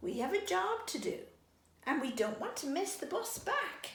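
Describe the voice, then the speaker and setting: In a put-on character voice, a woman speaks at an extremely high pitch with very wide pitch swings. Her pace is moderate, and there is slight echo. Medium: read story.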